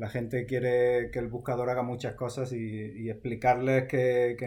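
Somewhat breathy and dark, mellow in tone, a man's voice holds a medium pitch with monotone, flat intonation. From Almería, Andalusia, Spain. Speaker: software developer. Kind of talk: casual interview.

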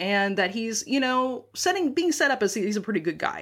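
In a plain, everyday voice, a woman with an American accent talks at a fairly quick pace and fairly high pitch on a very clean recording with a silent background. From US Midwest, North Dakota. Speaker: podcast co-host. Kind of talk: casual chat.

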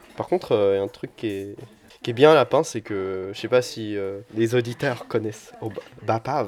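A man with a plain, everyday voice speaks at medium pitch and a moderate pace, using ordinary pitch variation. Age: 20s. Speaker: association member and volunteer. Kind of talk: casual interview.

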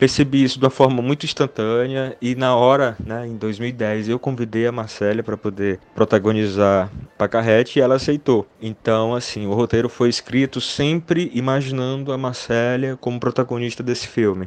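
The speech runs at a moderate pace with hardly any pauses. Its intonation is fairly even. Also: man, medium pitch for a man. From Brazil, interior of Ceará. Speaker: film director. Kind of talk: interview. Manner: hesitant fillers.

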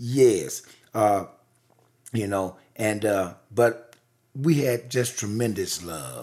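Speaking very slowly with a Southern US accent, a man leaves long, frequent pauses and uses ordinary pitch variation. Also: medium pitch for a man. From US South (rural). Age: 60s. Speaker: chef and cafe owner. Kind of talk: interview.

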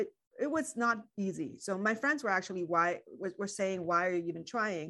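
A woman's medium-pitched voice with ordinary pitch variation, quiet background behind it. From China. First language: Chinese. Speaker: physician. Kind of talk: interview.

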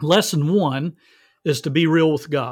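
He has an unremarkable speaking voice, fairly high, with ordinary pitch variation. The recording is very clean with a silent background. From US South. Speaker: pregnancy center fundraising specialist. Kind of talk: reading aloud; interview.

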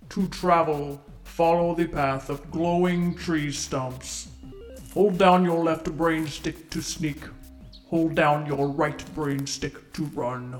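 Against clear background music, a man with a fairly high pitch and fairly even intonation speaks at a very slow pace. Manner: measured, instructional.

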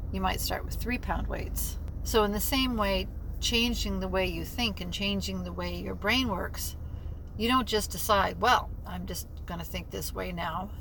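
A woman speaks at a fairly slow pace with audible room echo. Noticeable background noise is present. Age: 50s. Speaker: recovery coach podcast host. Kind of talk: personal monologue. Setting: in a car.

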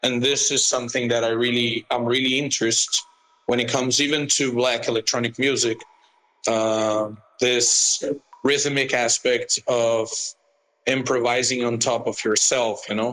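Male voice with a Portuguese accent, medium pitch, moderate pace, monotone, flat intonation and very even loudness, with music in the background. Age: 30s. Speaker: musician. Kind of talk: personal statement. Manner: halting.

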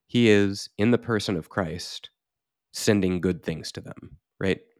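The man has a normal speaking voice, fairly low in pitch and at a moderate pace, recorded very cleanly with a silent background and a dry, close sound with no echo. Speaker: editor and theology lecturer. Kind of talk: solo lecture-style podcast. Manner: informal, scholarly, self-deprecating.

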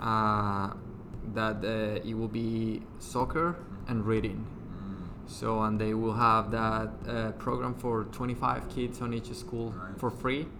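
In a Spanish accent, a man talks at a very slow pace with a medium pitch and fairly even intonation, with audible room echo and noticeable background noise. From Colombia. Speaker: former professional footballer. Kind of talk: casual interview. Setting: studio.

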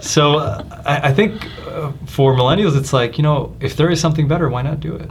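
The speech moves at a fairly quick pace with ordinary pitch variation, heard through audible room echo and noticeable background noise. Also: man, fairly high pitch for a man. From New Jersey. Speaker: tech company executive. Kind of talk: casual chat.

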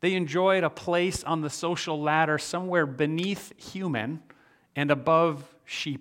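In a very clean recording with a silent background, a man speaks with an American accent. His pitch is fairly high and his pace fairly slow. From US Midwest. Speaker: pastor. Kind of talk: sermon.

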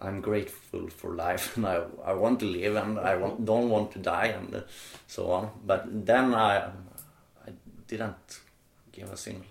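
A man's fairly low voice in a Swedish accent, fairly slow pace, long, frequent pauses, and fairly even intonation. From Sweden, Östergötland. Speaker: podcast host. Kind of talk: casual interview conversation. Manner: halting.

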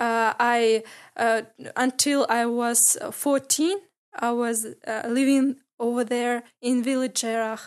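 A woman's very slow, fairly even, high-pitched speech with an Ingushetian accent, over a quiet background. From Ingushetia, Russia. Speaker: university student. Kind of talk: interview. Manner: halting.

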